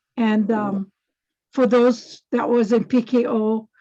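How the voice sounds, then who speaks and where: A woman with a Hawaiian accent speaks at a very slow pace in a fairly high pitch, dark and mellow in tone, somewhat breathy, with monotone, flat intonation. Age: 80s+. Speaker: activist. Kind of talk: testimony. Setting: video call.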